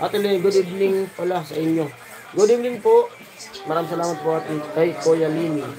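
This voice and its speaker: Fairly quick, fairly even delivery amid noticeable background noise and audible room echo. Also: man, high pitch for a man. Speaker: livestream vlogger. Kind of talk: casual livestream chat with viewer shoutouts. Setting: live stream.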